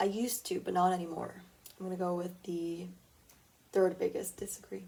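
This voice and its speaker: A quiet woman's voice at medium pitch, fairly quick in pace, with monotone, flat intonation. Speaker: podcast host. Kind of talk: casual solo podcast, taking a quiz aloud. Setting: at home, early morning. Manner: quiet tone.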